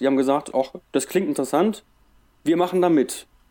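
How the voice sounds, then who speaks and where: A dark, mellow tone at a moderate pace. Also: man. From Germany, Wuppertal. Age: 30s. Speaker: ultramarathon race organizer. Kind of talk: casual chat.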